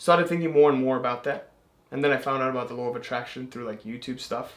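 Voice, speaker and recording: A man speaks at a very fast pace and a medium pitch. His tone is animated. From England. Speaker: manifestation content creator. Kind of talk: casual chat.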